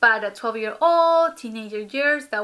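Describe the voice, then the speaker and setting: A woman speaks in a Spanish accent with a bright, sharp tone. Her pace is fairly slow, with ordinary pitch variation. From Ecuador. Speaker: vlogger. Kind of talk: casual vlog talk to camera. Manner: hesitant, many fillers.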